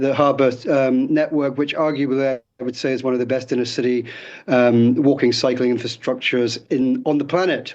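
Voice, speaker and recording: In a British accent, a man talks at a fairly quick pace with fairly even intonation. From Britain. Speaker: city councillor. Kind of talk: radio interview. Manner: halting, many repeated words and fillers.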